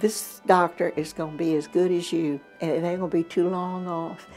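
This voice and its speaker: Music plays in the background as a woman speaks at a moderate pace. Her pitch is fairly low. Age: 80s+. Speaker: patient. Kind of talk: interview answer. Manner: lively, vivacious.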